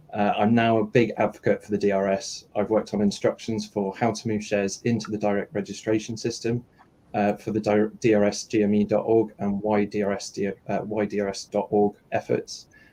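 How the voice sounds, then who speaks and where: Delivered at a fairly quick pace, the voice has a dark, mellow tone and monotone, flat intonation. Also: man, fairly low pitch for a man. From outside the US. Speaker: retail investor advocate. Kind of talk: panel Q&A. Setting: live online audio stream. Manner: halting, many fillers.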